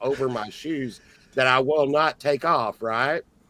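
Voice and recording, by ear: A man speaks at a medium pitch with a bright, sharp tone and a fairly slow pace.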